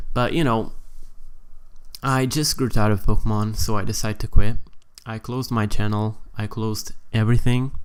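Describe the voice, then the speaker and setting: With a Portuguese accent, the speaker talks at a fairly quick pace with fairly even intonation, broken by long, frequent pauses. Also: man, medium pitch for a man. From Portugal. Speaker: gaming YouTuber. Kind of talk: casual vlog talk. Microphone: new microphone.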